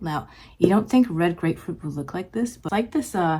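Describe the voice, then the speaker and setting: Her tone is dark and mellow, and this woman talks at a moderate pace in a somewhat breathy voice with lively intonation. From Japan. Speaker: beauty vlogger. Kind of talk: casual chat while doing makeup. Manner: casual, many fillers and restarts.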